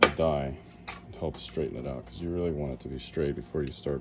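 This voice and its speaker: Over noticeable background noise, a man mumbles at a fairly quick pace. His pitch is very deep and low, and his intonation is fairly even. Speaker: coin ring maker. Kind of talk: casual tutorial talk while working. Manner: mumbling.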